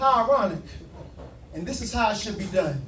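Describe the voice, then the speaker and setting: A man's high-pitched voice over music in the background. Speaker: spoken word poet. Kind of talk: spoken word poetry performance. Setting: live open mic at a restaurant.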